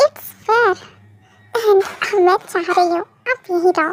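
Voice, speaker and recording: A woman puts on a squeaky character voice at an extremely high pitch, recorded with a dry, close sound and no echo. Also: fairly slow pace. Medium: audio drama. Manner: brash, outspoken.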